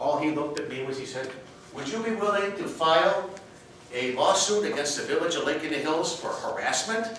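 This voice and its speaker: A man's high-pitched voice with lively intonation and a fairly quick pace, in a room with strong echo and light background noise. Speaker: contest speaker. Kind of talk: humorous speech. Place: hall. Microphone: camera far.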